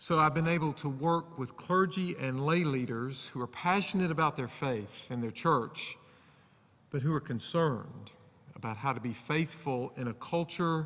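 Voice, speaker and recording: A man with an Alabama accent, fairly high-pitched and bright, sharp in tone, at a moderate pace with ordinary pitch variation, on a very clean recording with a silent background. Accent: Southern US (Alabama). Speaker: preacher. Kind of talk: sermon. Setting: church.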